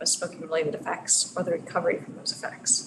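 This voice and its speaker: A woman's fairly low voice at a very fast pace, with audible room echo and noticeable background noise. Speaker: researcher. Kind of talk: lecture. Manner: soft-spoken. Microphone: too quiet, mic moved closer.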